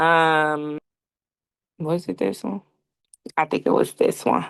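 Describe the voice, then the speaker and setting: A woman's fairly low-pitched voice against a quiet background. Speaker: YouTuber teaching content creation. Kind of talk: tutorial.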